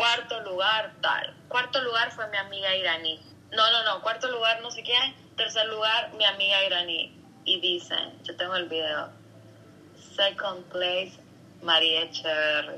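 A woman talks at a fairly slow pace with a medium pitch. Her pitch variation is ordinary. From Honduras, San Pedro Sula. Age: 30s. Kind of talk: interview.

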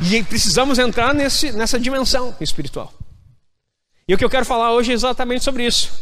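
A man talks at a fairly quick pace in an extremely high pitch with a bright, sharp, animated tone, ordinary pitch variation and very even loudness, and audible room echo surrounds him. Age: 40s. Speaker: pastor. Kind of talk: sermon.

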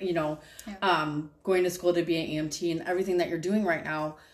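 A woman with a fairly low pitch speaks at a fairly quick pace over noticeable background noise. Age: 30s. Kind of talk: casual faith conversation.

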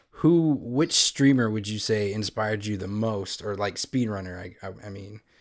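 With ordinary pitch variation, a man's fairly low voice moves along at a moderate pace. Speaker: podcast host. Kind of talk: casual chat.

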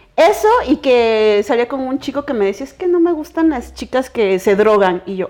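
A woman with a Mexican accent talks at a moderate pace with hardly any pauses. Her high-pitched voice has a dark, mellow tone and very wide pitch swings. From Mexico, Veracruz and Chiapas. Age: 30s. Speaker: illustrator and cannabis blogger. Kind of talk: casual interview chat.

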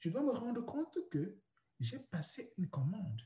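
With a dark, mellow tone, a man talks fairly slowly at a high pitch, his voice making very wide pitch swings. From Cameroon (Douala). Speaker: personal development coach. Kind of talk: interview, personal story.

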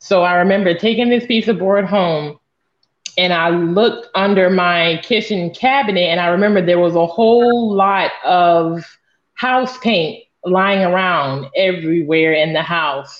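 In a plain, everyday voice with an American accent, the speaker goes at a fairly slow pace with ordinary pitch variation. Loudness stays very even throughout. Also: woman, medium pitch for a woman. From northeast Florida. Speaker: abstract artist. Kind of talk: interview.

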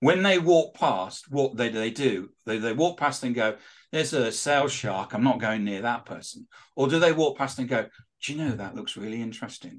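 A man with a British accent speaks at a moderate pace and medium pitch. His intonation is lively, and the background is quiet. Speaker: author and social selling expert. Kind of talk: interview. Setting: studio.

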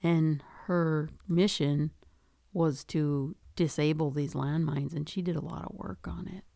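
A woman with an American accent talks at a fairly slow pace in a very deep, low voice with a dark, mellow tone. Her pitch varies in an ordinary way, while her loudness swings widely. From Duluth, Minnesota. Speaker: podcast co-host, mother of host. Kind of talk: casual chat.

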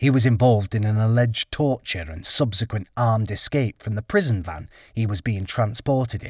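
An angry, somewhat breathy man at medium pitch, fairly quick in pace, with ordinary pitch variation, on a very clean recording with a silent background and a dry, close sound with no echo. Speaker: author reading his own memoir, former criminal. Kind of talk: audiobook reading of a memoir chapter. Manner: indignant, gritty, confessional, punchy delivery with angry, scornful asides.

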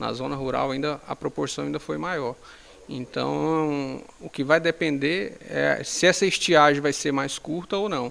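A man talks fairly slowly on a very clean recording, the background completely silent. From Brazil, Tocantins (Paraíso do Tocantins). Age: 40s. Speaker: municipal infrastructure secretary. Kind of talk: interview.

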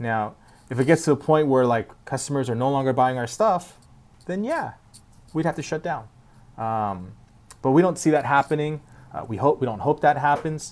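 Pitch rises and falls in an ordinary way while the words come at a moderate speed. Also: man, fairly high pitch for a man. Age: 30s. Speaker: wheel company president. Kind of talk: interview. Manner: halting.

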